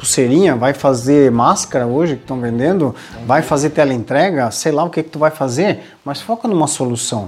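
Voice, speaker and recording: The man keeps to a moderate pace, his fairly high pitch varying in an ordinary way. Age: 40s. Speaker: podcast host, leadership coach. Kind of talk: casual chat. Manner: animated.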